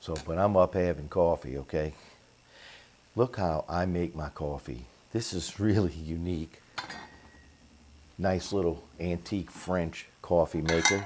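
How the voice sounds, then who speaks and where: A soft-spoken man with a very deep, low pitch talks at a fairly slow pace, with ordinary pitch variation and long, frequent pauses. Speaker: home cooking channel host. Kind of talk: casual kitchen tutorial. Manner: soft-spoken, talking low.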